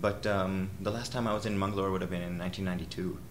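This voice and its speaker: A man's very deep, low voice with an American accent, in audible room echo. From US, Rochester, New York. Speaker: orchestral violist. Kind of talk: interview. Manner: halting, many fillers.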